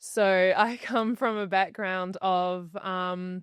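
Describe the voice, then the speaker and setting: The voice carries a New Zealand accent and fairly even intonation. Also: woman. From New Zealand, Rotorua. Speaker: podcast guest. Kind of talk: interview conversation.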